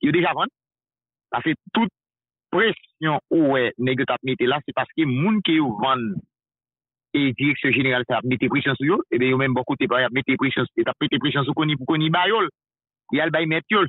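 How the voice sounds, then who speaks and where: At a fairly slow pace and with long, frequent pauses, a man speaks in a fairly high pitch with ordinary pitch variation. The sound is dry with no echo, over a quiet background. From Haiti. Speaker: news commentator. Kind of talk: political talk show discussion. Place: studio.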